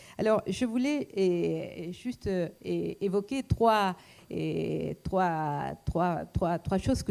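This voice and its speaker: A woman with a non-native accent speaks very slowly in a dark, mellow tone. Her recording is very clean, with a silent background. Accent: foreign accent in French. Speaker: economist and lecturer. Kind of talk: talk to an audience. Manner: hesitant, many fillers.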